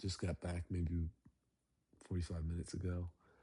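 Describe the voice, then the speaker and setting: A very deep, low-pitched man's voice, dark and mellow in tone and somewhat breathy, at a moderate pace against a quiet background. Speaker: dating vlogger. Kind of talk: casual monologue. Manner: halting.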